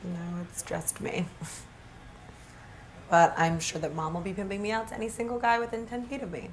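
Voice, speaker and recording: Against light background noise, a woman speaks at a moderate pace with ordinary pitch variation and big swings in loudness. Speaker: actress in a short film. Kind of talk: scripted casual dialogue. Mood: light, amused banter. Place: home room.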